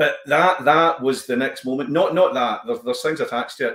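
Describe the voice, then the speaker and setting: Speaking with a Glaswegian accent, a man is heard with audible room echo over a quiet background. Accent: Glaswegian Scottish. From Glasgow, East End; Glasgow. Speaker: comedian and actor; comedian, actor. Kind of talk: casual chat. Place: home room.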